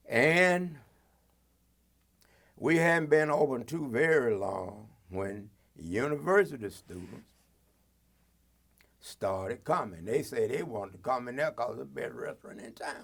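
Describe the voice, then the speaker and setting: Marked by vocal fry, the voice goes at a fairly slow pace with very wide pitch swings, big swings in loudness and long, frequent pauses. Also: man, medium pitch for a man. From Athens, Georgia, US South. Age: 80s+. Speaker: retired police officer and reverend. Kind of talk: oral history interview.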